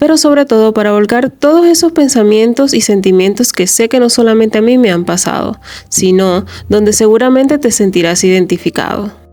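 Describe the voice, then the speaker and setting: A woman talks at a fairly quick pace with a fairly high pitch, lively intonation, and very even loudness. Noticeable background noise is present. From Venezuela. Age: 30s. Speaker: self-help podcaster. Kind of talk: reflective monologue podcast.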